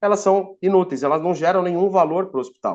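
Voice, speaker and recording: Here a man speaks with a high pitch at a fairly quick pace. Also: quiet background. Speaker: IT entrepreneur. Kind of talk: webinar presentation. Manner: casual, with fillers and restarts.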